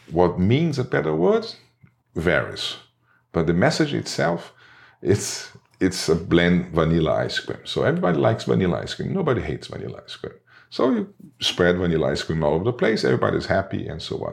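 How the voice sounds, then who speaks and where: A man talks at a fairly quick pace. He has a Portuguese accent. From Brazil, Rio de Janeiro. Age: 50s. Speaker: advertising creative director and artist. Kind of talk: interview. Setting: studio. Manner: halting, self-correcting.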